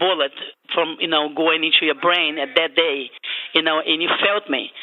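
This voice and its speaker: Someone speaks with a Portuguese accent. Noticeable background noise runs underneath. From Brazil. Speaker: caller. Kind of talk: call-in comment. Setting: phone call.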